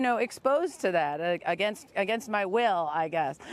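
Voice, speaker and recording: A woman with a plain, everyday voice, medium pitch and an American accent, at a moderate pace. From US Midwest. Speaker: stand-up comedian. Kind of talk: comedic monologue to camera. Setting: outdoors on the beach.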